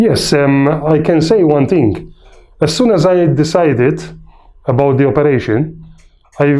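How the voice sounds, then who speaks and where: A man speaks at a moderate pace with lively intonation and long, frequent pauses, his voice fairly high in pitch with a dark, mellow tone. His loudness stays very even, and room echo can be heard. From Malta. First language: Maltese. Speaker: patient. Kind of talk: testimonial interview. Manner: hesitant, many fillers.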